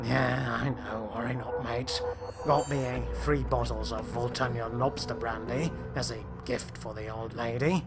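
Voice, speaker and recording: A man in a put-on character voice at a moderate pace, with loud music in the background. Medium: read story. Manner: casual, streetwise.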